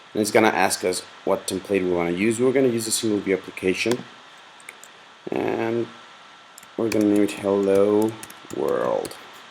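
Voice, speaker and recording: Long, frequent pauses break up the fairly even intonation. Noticeable background noise is present. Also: man, fairly low pitch for a man, moderate pace. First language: Spanish. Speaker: software tutorial maker. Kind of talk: tutorial. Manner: casual, with fillers and hesitations.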